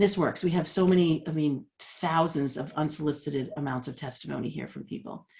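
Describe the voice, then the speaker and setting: Her voice is very deep and low with vocal fry as the woman speaks at a fairly quick pace with hardly any pauses, fairly even intonation and big swings in loudness. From Boston, US. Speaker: leadership coach. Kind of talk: workshop presentation. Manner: fast.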